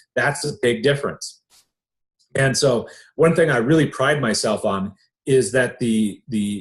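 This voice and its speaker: Somewhat breathy, this man's speech has a lively, varied melody. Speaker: online business coach. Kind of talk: sales webinar presentation. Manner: animated.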